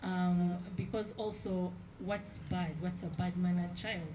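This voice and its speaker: Speaking at a fairly slow pace and a medium pitch, a woman uses a monotone, flat intonation. Audible room echo and noticeable background noise surround her voice. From central Uganda. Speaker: artist. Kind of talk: exhibition panel talk.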